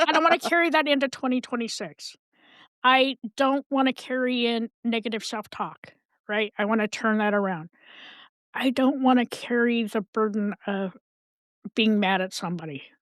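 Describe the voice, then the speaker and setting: A woman talks at a moderate pace with lively intonation and a fairly high pitch. The sound is dry and close with no echo, a very clean recording with a silent background. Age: 60s. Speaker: mental health advocate and podcast guest. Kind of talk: casual chat. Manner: animated.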